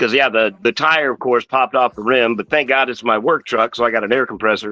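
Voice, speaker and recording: A bright, sharp tone at a fairly quick pace with fairly even intonation, in a dry, close sound with no echo. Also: man, medium pitch for a man. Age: 50s. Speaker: auto body painter and toy collector streamer. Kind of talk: casual chat.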